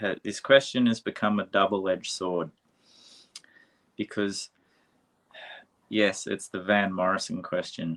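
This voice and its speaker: In an Australian accent, a man speaks at a fairly low pitch with ordinary pitch variation, the sound dry and close with no echo. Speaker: podcast interviewer. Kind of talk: casual interview chat.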